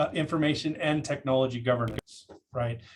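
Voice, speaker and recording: A somewhat breathy man talks at a fairly quick pace, his pitch varying in an ordinary way. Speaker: cybersecurity presenter. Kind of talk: lecture. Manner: halting, many fillers.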